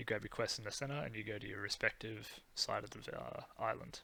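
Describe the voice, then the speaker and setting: Vocal fry runs through this voice, which moves at a moderate pace. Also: man. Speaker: game guide creator. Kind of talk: game tutorial voice-over. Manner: monotonous, hesitant with ums.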